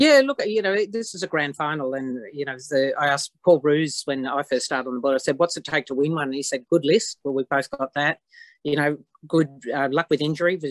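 With an Australian accent, the speaker goes at a fairly quick pace with ordinary pitch variation, in a dry sound with no echo over a quiet background. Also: woman, very deep, low pitch for a woman. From Australia, outside Victoria. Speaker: football club president. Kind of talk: interview. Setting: video call. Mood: proud, upbeat. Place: home room. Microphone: video call.

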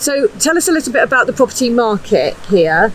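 Over faint background noise, a woman talks at a fairly quick pace with fairly high pitch and big pitch swings.

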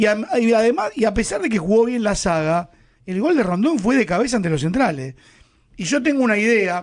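With a Rioplatense accent, a man speaks at a moderate pace in a high pitch with lively intonation. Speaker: football pundit. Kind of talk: radio football panel chat.

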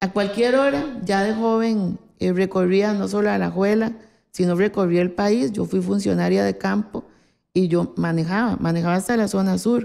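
Loudness stays very even as a woman speaks at a moderate pace. The background is quiet. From Costa Rica, Alajuela; Costa Rica. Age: 60s. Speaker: politician. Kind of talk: interview. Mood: calm, reminiscing. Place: office.

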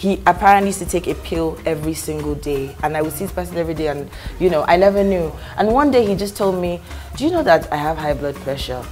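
A woman at a very fast pace, with light background noise. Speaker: talk show guest. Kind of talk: interview answer. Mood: warm, jokey. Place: studio.

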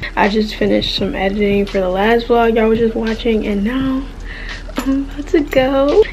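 A woman at a fairly quick pace, with ordinary pitch variation, against noticeable background noise. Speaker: vlogger. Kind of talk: casual vlog chat. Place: home room. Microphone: phone near.

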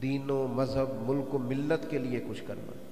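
A man speaks fairly slowly, with audible room echo and light background noise. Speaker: religious preacher. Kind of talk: sermon. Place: hall. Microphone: handheld.

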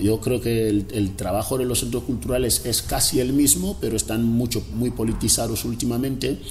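A man with ordinary pitch variation, over light background noise. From Equatorial Guinea, Río Muni interior (Fang region). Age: 40s. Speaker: cartoonist and former political prisoner. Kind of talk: interview. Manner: halting, with many repetitions. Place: home room.

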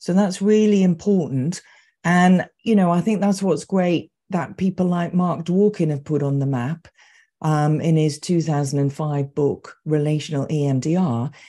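Against a quiet background, a woman speaks at a fairly slow pace in a fairly low pitch, her tone dark and mellow with ordinary pitch variation. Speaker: EMDR therapist and trainer. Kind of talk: interview conversation. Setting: video call. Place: home room.

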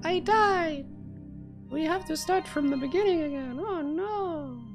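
A put-on character voice with a high pitch speaks at a fairly slow pace over clear music in the background. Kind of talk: live gaming commentary, reading game subtitles aloud. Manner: cute, exaggerated, distressed. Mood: playful dismay.

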